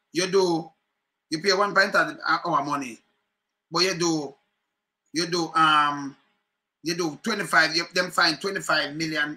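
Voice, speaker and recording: Speaking at a fairly slow pace, a man uses a high pitch and a bright, sharp tone. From Jamaica. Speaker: political commentary vlogger; political commentator, live streamer. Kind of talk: casual commentary. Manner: animated. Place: home room. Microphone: webcam.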